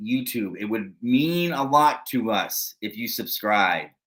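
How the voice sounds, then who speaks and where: In a very clean recording with a silent background, a man with a medium pitch talks at a very slow pace. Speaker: wrestling podcast co-host. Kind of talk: casual chat. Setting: live stream.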